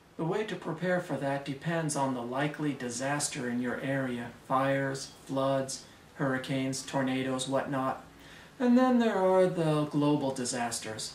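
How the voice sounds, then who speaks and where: A man's fairly high voice moves in pitch in a normal way, with noticeable noise in the background. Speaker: airport screener. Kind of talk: casual talk to camera. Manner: loud, slow.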